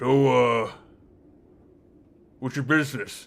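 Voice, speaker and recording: A put-on character voice from a man at a medium pitch. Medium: actual play. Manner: curt, bureaucratic.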